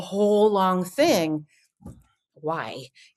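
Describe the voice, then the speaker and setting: A woman's voice at a medium pitch. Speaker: voice actor. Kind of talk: interview answer.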